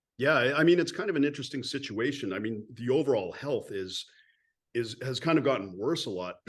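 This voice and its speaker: A man speaks at a fairly quick pace in an unremarkable speaking voice, his medium pitch carried by lively intonation. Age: 50s. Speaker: podcast host. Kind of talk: casual interview chat.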